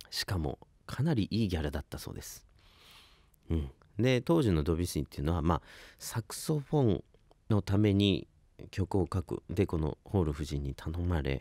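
A man's very deep, low voice with a dark, mellow tone and lively intonation, at a moderate pace with long, frequent pauses, dry with no echo over a quiet background. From Ibaraki, Japan; Japan. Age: 20s. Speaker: saxophonist and radio host; radio host. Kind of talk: radio talk show. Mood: enthusiastic, relaxed storytelling. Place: studio. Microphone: studio mic.

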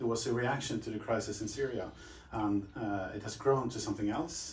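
A man with a Swedish accent speaks at a fairly low pitch with ordinary pitch variation. Light background noise and audible room echo are present. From Sweden. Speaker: interviewer, company representative. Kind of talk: panel moderation. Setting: meeting room with audience. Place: meeting room.

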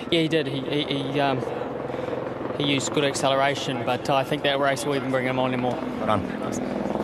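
A man speaks fairly quickly against loud background noise, his voice dry with no echo. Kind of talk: interview answer. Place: stadium. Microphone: handheld.

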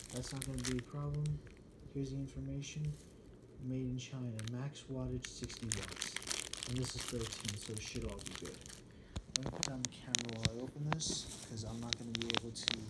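Amid loud background noise, a man speaks at a fairly quick pace with ordinary pitch variation and long, frequent pauses. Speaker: hobbyist reviewer. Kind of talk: casual talk to camera. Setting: indoors in a bedroom at night. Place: home room. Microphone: phone near.

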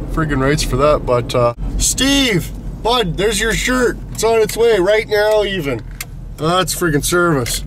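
Very wide pitch swings come through in a dry sound with no echo over light background noise. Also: man. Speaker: vlogger. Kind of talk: casual vlog chat. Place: car. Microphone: phone near.

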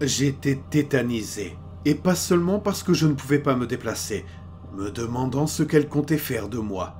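A man's medium-pitched voice with very wide pitch swings over music in the background. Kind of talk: ghost story telling, horror narration read aloud. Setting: studio recording for headphones. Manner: slow, hushed and suspenseful, building dread; grave first-person narrator, measured and tense.

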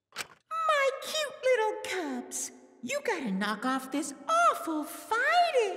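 This put-on character voice is squeaky and extremely high in pitch. The delivery is very slow. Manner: scolding.

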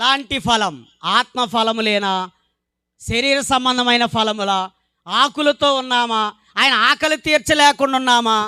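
On a very clean recording with a silent background and a dry, close sound with no echo, a man uses a raised, projected voice with an extremely high pitch, a bright, sharp tone and ordinary pitch variation. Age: 40s. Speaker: preacher. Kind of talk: sermon. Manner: emphatic, repetitive.

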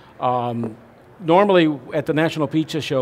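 The man speaks at a moderate pace with ordinary pitch variation. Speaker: presenter. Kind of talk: seminar lecture. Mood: friendly, relaxed. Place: hall.

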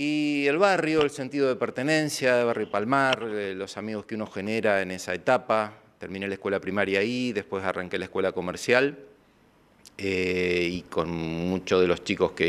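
Here a man speaks at a fairly low pitch and a moderate pace. His intonation is lively. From Argentina, Villa Constitución area (Santa Fe); Santa Fe, Argentina. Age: 50s. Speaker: former news anchor. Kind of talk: interview. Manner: hesitant with filler sounds. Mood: calm, nostalgic recollection. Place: studio. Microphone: handheld.

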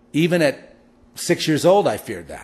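A man with an American accent speaks at a moderate pace in a fairly high pitch. His intonation is lively, with vocal fry. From Los Angeles. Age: 60s. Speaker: podcast host. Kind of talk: spiritual monologue.

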